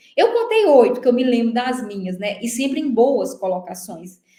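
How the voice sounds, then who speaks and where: In a room with audible echo, a woman speaks in a somewhat breathy, dark, mellow tone. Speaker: teacher coaching for civil service exams. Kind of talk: online lecture. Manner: fast; animated.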